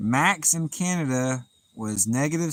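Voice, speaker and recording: A man's medium-pitched voice with lively intonation, on a very clean recording with a silent background. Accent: Southern US. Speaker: fishing livestreamer. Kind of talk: live stream chat reading. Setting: outdoors by the water at night.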